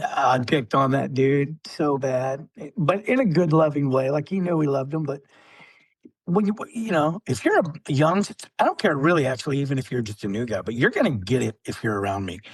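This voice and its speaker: Lively intonation marks this man's fairly high voice as he speaks at a fairly quick pace. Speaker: Marine veteran. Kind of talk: casual chat. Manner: loud.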